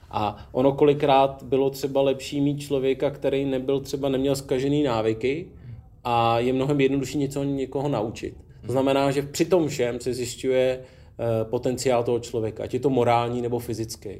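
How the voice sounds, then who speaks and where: In a room with audible echo, a man talks in a flat, monotone way with a medium pitch and a dark, mellow tone. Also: moderate pace. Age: 40s. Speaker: former special forces soldier and rally rider, now city police officer. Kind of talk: casual interview. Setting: gym.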